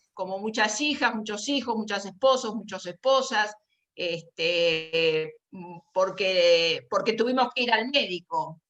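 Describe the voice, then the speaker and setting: A woman with a fairly high pitch speaks at a very slow pace, with lively intonation and big swings in loudness. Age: 60s. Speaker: caregiver and association member. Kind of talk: panel talk. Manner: halting.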